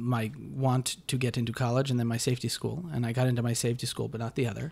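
In an ordinary speaking voice with an American accent, a man talks at a medium pitch with fairly even intonation on a very clean recording with a silent background. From rural Connecticut, US. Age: 30s. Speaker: freelance filmmaker and actor. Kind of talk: casual chat.

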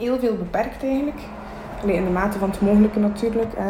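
A woman at medium pitch talks at a fairly quick pace with a Flemish accent, with noticeable background noise and audible room echo. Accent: Flemish Dutch. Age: 20s. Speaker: podcaster, self-employed butcher, stroke survivor. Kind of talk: personal testimony monologue. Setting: home kitchen at night.

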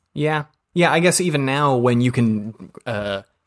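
On a very clean recording with a silent background, a man with an American accent speaks in a normal speaking voice at a medium pitch with ordinary pitch variation. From US South, Georgia. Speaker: podcast host. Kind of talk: casual chat.

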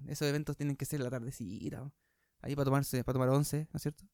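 A man speaks at a very fast pace, with a dry, close sound and no echo. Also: very clean recording, silent background. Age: 20s. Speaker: youtuber. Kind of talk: casual chat. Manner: halting.

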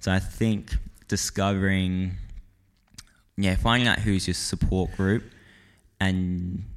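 A man with an Australian accent speaks in a very deep, low voice at a very slow pace, leaving long, frequent pauses. His intonation is monotone and flat, and his loudness stays very even. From Perth, Western Australia. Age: young. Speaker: videographer and filmmaker. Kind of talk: casual interview. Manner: halting.

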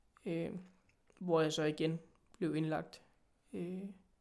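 This is a man talking. His pace is fairly slow. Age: 30s. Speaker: chronic illness patient and ambassador. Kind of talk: interview.

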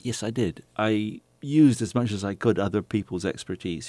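In a very clean recording with a silent background, a man with a British accent speaks in a dark, mellow tone. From England. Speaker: winemaker, former doctor. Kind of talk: interview.

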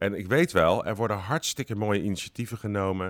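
The very clean recording, with a silent background and a dry, close sound with no echo, captures a man at a fairly low pitch. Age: 50s. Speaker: director of a church organization. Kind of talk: interview. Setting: organization building. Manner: talkative.

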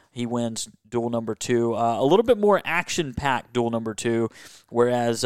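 A man's medium-pitched voice with ordinary pitch variation, dry and close with no echo. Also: very clean recording, silent background. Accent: Southern US. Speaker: motorsports and hockey contributor. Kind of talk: casual chat. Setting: home man cave.

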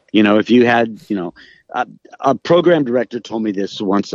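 A man's medium-pitched voice with an American accent, ordinary pitch variation and an unremarkable speaking voice, in a dry, close recording with no echo and a quiet background. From Los Angeles, California. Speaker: radio host and music personality. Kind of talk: casual interview chat. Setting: remote audio call.

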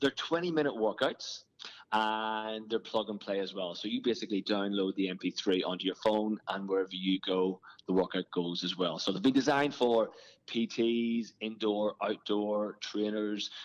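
A man's fairly low voice with an Irish accent and ordinary pitch variation, at a moderate pace, in a dry, close sound with no echo against a quiet background. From Ireland. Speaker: fitness trainer and business owner. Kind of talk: interview. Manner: animated.

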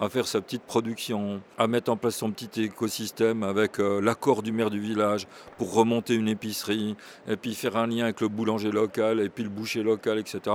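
A man's fairly low voice moves along at a fairly quick pace. The intonation stays flat and monotone. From Burgundy, France. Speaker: professor. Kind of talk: interview.

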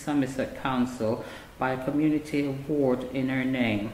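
A man talks at a moderate pace, with noticeable background noise audible throughout. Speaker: community association representative. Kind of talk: reading aloud.

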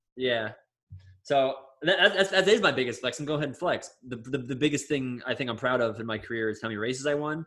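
The speech runs at a very fast pace with ordinary pitch variation and a bright, sharp tone. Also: man, medium pitch for a man. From Florida. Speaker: podcast co-host, professional runner. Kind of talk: casual chat.

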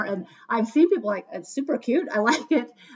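The speech moves at a fairly quick pace with lively intonation, and noticeable background noise is present. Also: woman. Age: 50s. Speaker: podcast host, school educator. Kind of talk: casual chat. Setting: at home.

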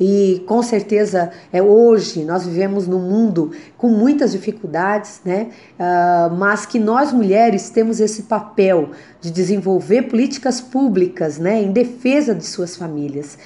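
Speaking at a fairly slow pace, a woman has a medium pitch, a dark, mellow tone and ordinary pitch variation. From Santa Catarina, Brazil (Criciúma). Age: 40s. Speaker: politician. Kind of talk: testimony.

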